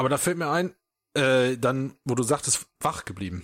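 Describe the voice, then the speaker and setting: Speaking at a moderate pace, a man has an unremarkable speaking voice at medium pitch. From Germany. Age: 30s. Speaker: podcast host. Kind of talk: casual chat.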